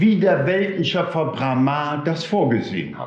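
A man speaks very slowly, with audible echo in the room. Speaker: storyteller or teacher in costume. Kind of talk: spiritual talk reading a story aloud. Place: hall.

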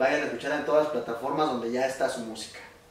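Male speech, pitch moving in a normal range, the room audibly echoing. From Oaxaca, Mexico. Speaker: online video interviewer. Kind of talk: interview. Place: home room. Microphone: camera far.

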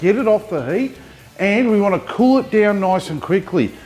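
Faint music can be heard behind the voice. The speaker is a man. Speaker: BBQ cooking host. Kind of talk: tutorial. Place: studio.

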